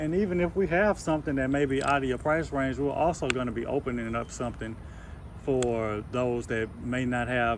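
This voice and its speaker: Over noticeable background noise, a man with a medium pitch speaks at a fairly quick pace with ordinary pitch variation. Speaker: real estate investor. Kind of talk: casual conversation with a seller. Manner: fast.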